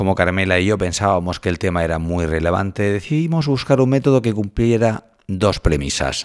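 A man with a normal speaking voice talks at a moderate pace with hardly any pauses. His pitch is fairly low and his intonation is lively. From Spain, Cartagena (Murcia). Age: 40s. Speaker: journalism professor. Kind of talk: scripted narration.

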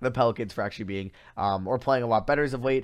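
Against a quiet background, a man with an American accent and a medium pitch speaks very fast with lively intonation. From Long Island, New York. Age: 20s. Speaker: college student podcaster. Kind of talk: casual sports commentary monologue. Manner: casual with many fillers.

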